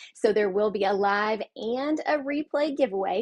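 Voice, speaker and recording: A woman speaks with a Southern US accent and ordinary pitch variation. The background is quiet. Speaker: card-making crafter, livestream host. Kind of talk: live craft tutorial stream. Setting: livestream with chat. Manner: chatty, filler-heavy.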